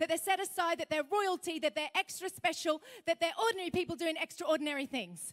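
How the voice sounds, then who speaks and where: Her voice is extremely high in pitch as this woman speaks. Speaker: speaker. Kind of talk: sermon. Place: hall. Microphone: handheld.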